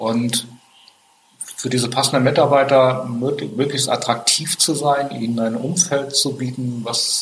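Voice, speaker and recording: Fairly even intonation in a man's medium-pitched speech, with noticeable background noise behind it. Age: 50s. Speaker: IT company founder and managing director. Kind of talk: interview. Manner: frequent hesitations.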